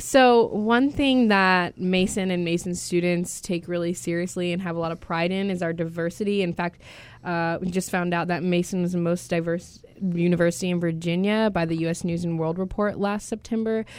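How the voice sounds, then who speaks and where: Speaking at a moderate pace, a woman uses a normal speaking voice that sits fairly low in pitch, with fairly even intonation. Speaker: student radio host. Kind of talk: interview. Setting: studio.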